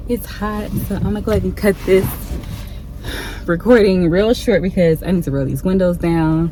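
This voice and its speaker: The talking moves fairly quickly, with noticeable background noise underneath. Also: woman. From Ohio, US Midwest. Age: 30s. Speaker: travel vlogger. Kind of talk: casual vlog talk to camera. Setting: in a car. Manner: casual with many fillers (um, like).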